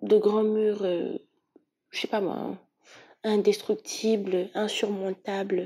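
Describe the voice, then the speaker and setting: At a very slow pace with long, frequent pauses, a woman speaks at a medium pitch in a dark, mellow tone. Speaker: tarot reader. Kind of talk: tarot reading. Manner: animated.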